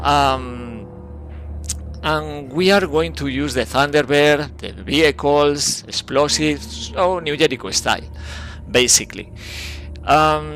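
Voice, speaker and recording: Very slow and full of very wide pitch swings, a man's voice comes through noticeable background noise. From Spain. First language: Spanish. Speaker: video game streamer. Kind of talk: live gameplay commentary. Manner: halting, many fillers.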